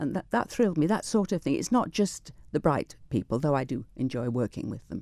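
On a very clean recording with a silent background and a dry, close sound with no echo, a woman speaks fairly quickly in a very deep, low, dark, mellow voice with very wide pitch swings. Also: hardly any pauses. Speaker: retired teacher. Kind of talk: radio interview. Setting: studio. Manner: fast.

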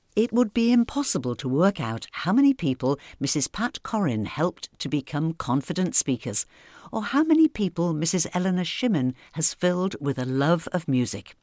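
Over a very clean, silent background, a woman with a fairly low, dark and mellow voice speaks at a moderate pace with very wide pitch swings and hardly any pauses. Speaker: radio host. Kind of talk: scripted narration.

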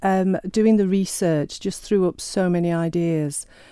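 Fairly slow pace and a dark, mellow tone in a very clean recording with a silent background. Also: woman. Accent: Sheffield. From northern England, Sheffield. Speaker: novelist. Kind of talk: interview. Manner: hesitant, many fillers.

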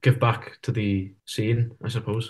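A man's somewhat breathy voice at a moderate pace, with fairly even intonation over a quiet background. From Isle of Man. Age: 20s. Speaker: folk musician and university student. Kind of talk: interview. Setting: video call. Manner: hesitant, many fillers.

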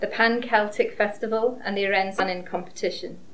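Here is a woman with an ordinary speaking voice and a medium pitch. She speaks at a fairly slow pace with ordinary pitch variation. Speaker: award presenter. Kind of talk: formal award announcement speech.

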